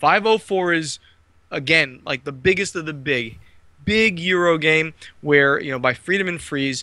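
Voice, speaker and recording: A man speaks at a moderate pace with a slight New Jersey accent. His intonation is lively, and the sound is dry and close with no echo. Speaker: board game publisher. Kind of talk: podcast interview.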